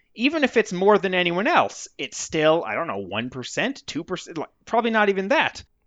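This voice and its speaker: A man with an American accent speaks at a high pitch with very wide pitch swings. His pace is fairly quick, with hardly any pauses. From Vermont. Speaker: music blogger and author. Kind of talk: interview.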